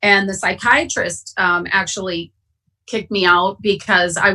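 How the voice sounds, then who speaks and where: With an Upper Midwest US accent, the voice has a bright, sharp tone and moves at a fairly slow pace. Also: woman. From Wisconsin. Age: 50s. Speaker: AA speaker. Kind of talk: testimony. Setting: online conference. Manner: passionate.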